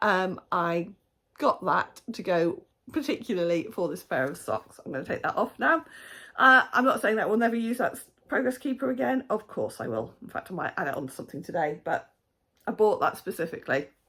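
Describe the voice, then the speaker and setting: Her voice has a bright, sharp tone and vocal fry at a fairly high pitch. The woman moves at a fairly quick pace with very wide pitch swings. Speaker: knitting podcaster. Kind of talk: casual podcast chat. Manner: chatty, with frequent fillers.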